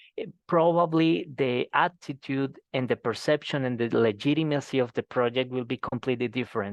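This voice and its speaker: A man with a Colombian accent, moderate pace, and ordinary pitch variation. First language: Spanish. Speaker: professor. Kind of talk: seminar Q&A. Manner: halting.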